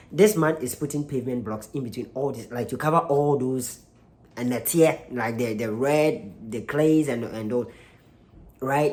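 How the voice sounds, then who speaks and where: The speaker talks at a moderate pace with a Ghanaian accent. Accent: Ghanaian (Kumasi) English, L and R sounds. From Ghana, Kumasi. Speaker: YouTube reaction channel host. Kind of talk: casual video commentary. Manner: halting, many fillers and restarts.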